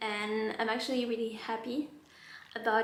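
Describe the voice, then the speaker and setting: Speaking with a non-native accent, a woman has a fairly high pitch and fairly even intonation, with audible room echo and noticeable background noise. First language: not English. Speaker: beauty vlogger. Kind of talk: casual chat. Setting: at home by a window. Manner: chatty.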